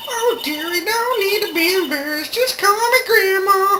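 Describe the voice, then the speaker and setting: A female-sounding voice in a put-on character voice, pitched extremely high, talks at a moderate pace over clear background noise. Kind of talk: video game let's play with character voice acting. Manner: talkative.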